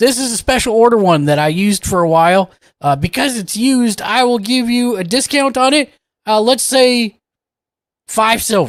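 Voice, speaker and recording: In a put-on character voice, a man talks at a moderate pace with an extremely high pitch, recorded very cleanly against a silent background. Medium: actual play. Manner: doddering, rambling, hesitant.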